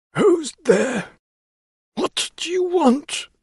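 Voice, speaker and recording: A man puts on a raspy character voice. He pitches it extremely high. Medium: read story. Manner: prickly, boastful.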